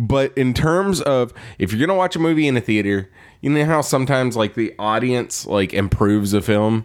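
An unremarkable speaking voice with an American accent, fairly quick and with lively intonation, very even in loudness, on a very clean recording with a silent background. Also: man, medium pitch for a man. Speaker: podcast host.

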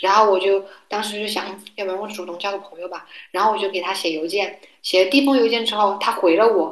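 A woman rushes along at a very fast pace, her intonation fairly even. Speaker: graduate student. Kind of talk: casual chat.

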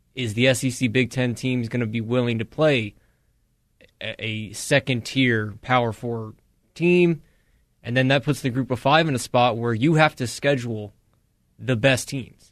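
At a moderate pace, a man speaks at medium pitch with fairly even intonation. He leaves long, frequent pauses against a quiet background. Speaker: radio co-host. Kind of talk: casual sports talk banter.

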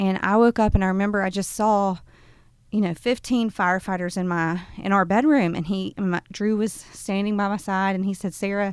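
Speaking in a Southern US accent, a woman holds a moderate pace and a medium pitch with fairly even intonation. The recording is very clean, with a silent background. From US South, Birmingham, Alabama. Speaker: nonprofit executive director. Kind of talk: interview. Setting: studio.

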